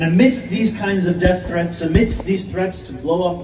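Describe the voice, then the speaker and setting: Over noticeable background noise, a man with a high-pitched voice speaks at a moderate pace. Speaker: politician, mayoral candidate. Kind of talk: public speech at a mosque Friday prayer gathering.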